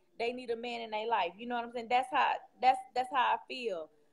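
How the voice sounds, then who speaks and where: With an American accent, a woman speaks at a high pitch. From Houston, Texas. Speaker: caller. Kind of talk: personal testimony. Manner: loud; animated.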